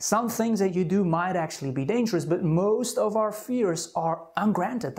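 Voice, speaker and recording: A non-native accent in a very clean recording with a silent background. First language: not English. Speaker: anxiety self-help coach. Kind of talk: self-help talk to camera.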